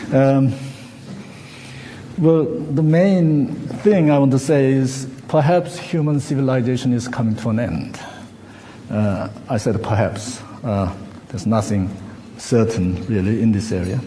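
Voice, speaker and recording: A man with a Korean accent speaks at a fairly slow pace with lively intonation and long, frequent pauses, amid noticeable background noise and audible room echo. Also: medium pitch for a man. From South Korea. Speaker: academic researcher and conference speaker. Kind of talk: conference presentation read from script. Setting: conference hall with audience. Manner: halting, with many fillers.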